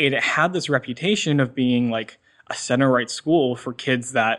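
A man speaks in a plain, everyday voice at medium pitch and a moderate pace, with ordinary pitch variation over a quiet background. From US Northeast, Massachusetts North Shore near Boston. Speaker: college student. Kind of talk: interview.

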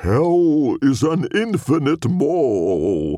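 This man has a fairly high pitch. He is doing a put-on character voice. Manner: ominous, sinister.

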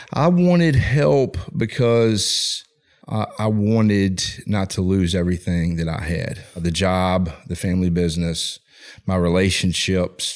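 A man's very deep, low voice with an American accent, at a fairly slow pace. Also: ordinary pitch variation. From Richmond, Virginia. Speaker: former addict, ministry leader. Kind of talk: testimony. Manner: halting.

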